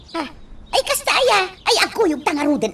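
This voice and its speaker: This put-on character voice is squeaky and extremely high, with very wide pitch swings. It moves at a moderate pace against clear background noise. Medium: audio drama.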